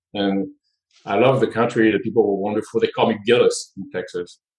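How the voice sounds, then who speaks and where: The speaker is a man with a French accent. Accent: noticeable French. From France. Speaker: nonprofit board chair, tech executive. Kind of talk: casual interview chat.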